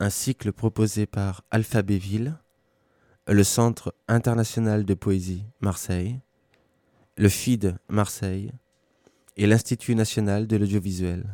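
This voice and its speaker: A man speaks at a fairly slow pace with long, frequent pauses, his voice fairly low with a dark, mellow tone and fairly even intonation. The recording is very clean with a silent background and a dry, close sound with no echo. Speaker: radio presenter. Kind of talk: scripted narration. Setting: radio broadcast.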